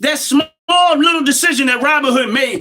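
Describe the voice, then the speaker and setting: In a raised, projected voice and a passionate tone, a man with an American accent speaks at an extremely high pitch with ordinary pitch variation. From United States. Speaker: livestream commentator. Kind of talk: live-stream monologue. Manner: loud, passionate.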